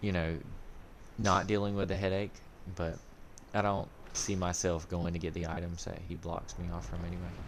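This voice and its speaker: A man's very deep, low voice in a flat monotone, with long, frequent pauses and audible room echo. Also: moderate pace. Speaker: gaming streamer. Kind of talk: live gameplay commentary. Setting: live stream. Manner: casual, halting.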